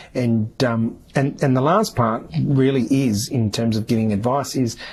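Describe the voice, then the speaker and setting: Somewhat breathy and medium in pitch, a man's voice shows ordinary pitch variation. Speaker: podcast host. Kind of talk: solo podcast monologue. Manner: fast; hesitant, many fillers.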